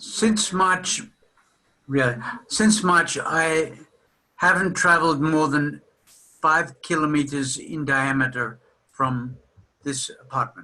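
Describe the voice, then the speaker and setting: This man speaks at a very slow pace, with long, frequent pauses. His voice is fairly high, with a bright, sharp tone and ordinary pitch variation. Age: 60s. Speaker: psychotherapist lecturing at a seminar. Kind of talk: lecture.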